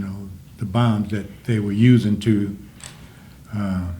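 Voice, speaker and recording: Against audible room echo, a man with a Louisiana accent speaks in a dark, mellow tone with fairly even intonation. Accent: Southern US, Louisiana. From US South, Jennings, Louisiana. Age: 80s+. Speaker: Vietnam war veteran. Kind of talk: interview.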